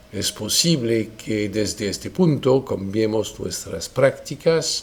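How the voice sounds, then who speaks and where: A man with a French accent at a very slow pace, medium pitch and lively intonation, with noticeable background noise. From France. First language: French (speaking Spanish). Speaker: lawyer. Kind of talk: lecture. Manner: formal.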